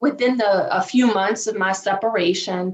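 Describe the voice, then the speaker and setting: At a fairly slow pace, a woman speaks at a medium pitch with a strong Southern US accent. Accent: thick Southern US. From US South, Virginia. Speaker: divorce coach. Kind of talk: podcast interview.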